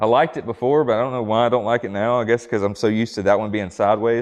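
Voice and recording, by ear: A man talks at a fast pace, his pitch fairly low and his intonation fairly even.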